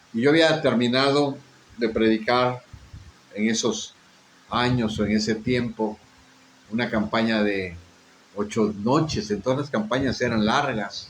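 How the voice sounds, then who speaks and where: A man at medium pitch speaks at a fairly slow pace with long, frequent pauses. His intonation is fairly even, and audible room echo is present. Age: 60s. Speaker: pastor. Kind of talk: sermon with personal testimony.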